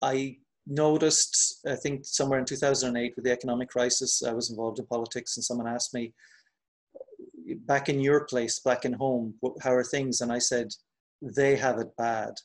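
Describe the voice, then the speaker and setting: Flat and monotone, a man speaks at a fairly quick pace and a medium pitch. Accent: Irish. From Ireland. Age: 50s. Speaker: poet and translator. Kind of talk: interview. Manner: halting, many repetitions.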